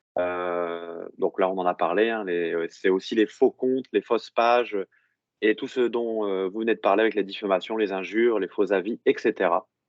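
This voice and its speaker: A man talks at a moderate pace. His pitch is fairly low. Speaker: technical director of an online monitoring company, presenter. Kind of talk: professional presentation. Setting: remote video call into a seminar room. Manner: loud; hesitant, many fillers.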